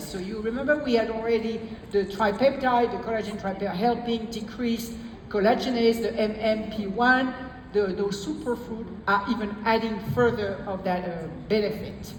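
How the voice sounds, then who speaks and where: Against noticeable background noise, a woman with a French accent speaks at a moderate pace in a fairly high voice with ordinary pitch variation. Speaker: product presenter.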